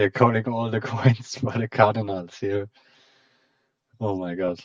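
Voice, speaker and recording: The speaker has a German accent and a fairly slow pace with fairly even intonation. The sound is dry and close, with no echo. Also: man, medium pitch for a man. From German-speaking Europe. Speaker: game commentator. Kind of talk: live commentary.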